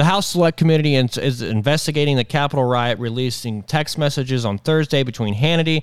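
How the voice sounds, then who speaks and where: A man talking at a fairly quick pace with lively intonation, in a very clean recording with a silent background and a dry, close sound with no echo. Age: 20s. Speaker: amateur political podcast host. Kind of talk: casual news commentary.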